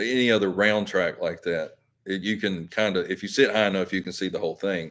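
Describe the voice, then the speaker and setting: A man with a fairly low voice is heard in a very clean recording with a silent background. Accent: Southern. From Alabama. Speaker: YouTuber. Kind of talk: live stream chat. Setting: live stream. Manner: casual, halting.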